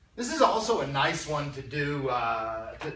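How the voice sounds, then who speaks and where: Fairly high-pitched male speech, with audible echo from the room and noticeable noise in the background. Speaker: math teacher. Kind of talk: lecture. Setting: classroom with students. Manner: fast; casual, conversational.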